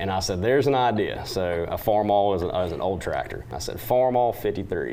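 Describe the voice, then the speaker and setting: A man with a Southern US accent talks at a fairly quick pace and fairly low pitch, with ordinary pitch variation and noticeable background noise. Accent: Southern twang. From western North Carolina. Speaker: country singer. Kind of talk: TV interview.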